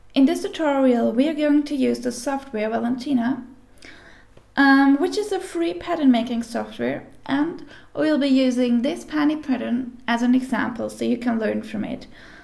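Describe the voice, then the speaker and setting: A woman's high voice with a non-native accent. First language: not English. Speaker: sewing pattern tutorial maker. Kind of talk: tutorial. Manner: careful, deliberate pace; hesitant, with fillers.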